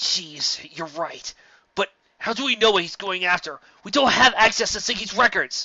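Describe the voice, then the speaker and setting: Putting on a character voice, a man talks in a high pitch at a moderate pace. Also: big swings in loudness. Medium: read story. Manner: excitable, fast, exclamatory.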